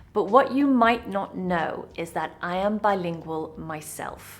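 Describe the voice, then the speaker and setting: A woman with a British accent, medium pitch, lively intonation and a fairly slow pace. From UK. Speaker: English teacher. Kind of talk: online English lesson.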